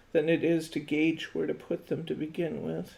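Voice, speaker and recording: Slowish and fairly low, a woman's voice carries vocal fry. Her pace is fairly slow throughout. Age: 60s. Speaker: craft instructor. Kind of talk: live craft tutorial. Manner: casual, thinking aloud.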